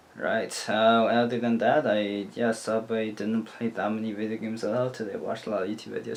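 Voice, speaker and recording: At a very fast pace with hardly any pauses, a man speaks at a medium pitch over noticeable background noise. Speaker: vlogger. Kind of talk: casual video diary.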